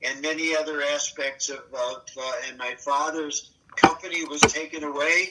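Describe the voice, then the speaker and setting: A man speaks at a fairly high pitch in a monotone, flat intonation. Noticeable background noise runs behind him. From Germany. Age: 80s+. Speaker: Holocaust survivor. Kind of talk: oral history interview. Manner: halting.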